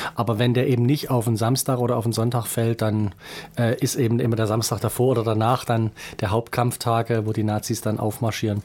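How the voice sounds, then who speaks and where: Monotone, flat intonation marks this man's speech. He keeps a moderate pace. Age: 40s. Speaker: lawyer and state politician. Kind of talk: interview. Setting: studio.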